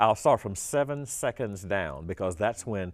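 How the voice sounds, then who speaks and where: A normal speaking voice with lively intonation at a moderate pace, in a very clean recording with a silent background. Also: man. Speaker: retired navy pilot and astronaut. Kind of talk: interview.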